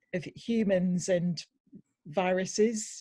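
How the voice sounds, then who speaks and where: A woman speaks with a Welsh accent at a medium pitch, her tone dark and mellow. Her voice is somewhat breathy and her intonation fairly even. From Wales. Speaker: audience participant. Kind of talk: casual chat. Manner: halting.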